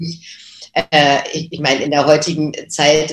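A woman speaks with a very deep, low pitch. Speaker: voice actress. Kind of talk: interview.

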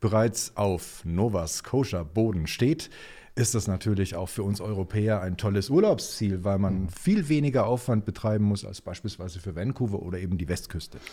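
Dark and mellow in tone, the man's voice carries a slight breathiness. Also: very clean recording, silent background. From Germany, Nuremberg (Franconia). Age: 50s. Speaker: Nova Scotia enthusiast, colleague of host. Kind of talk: casual interview.

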